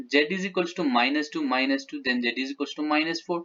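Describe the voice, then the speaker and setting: Quick-paced and lively in intonation, a man with an unremarkable speaking voice speaks with fairly high pitch. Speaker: math teacher. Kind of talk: tutorial.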